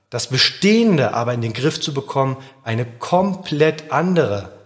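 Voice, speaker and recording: A somewhat breathy man with a fairly high pitch talks at a fairly slow pace, his voice making very wide pitch swings. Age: 30s. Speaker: podcast host, agency founder. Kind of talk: scripted monologue.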